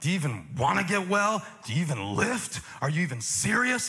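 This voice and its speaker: Over music in the background, a put-on character voice growls at a fairly quick pace with very wide pitch swings. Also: man, high pitch for a man. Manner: snarling, contemptuous, mocking.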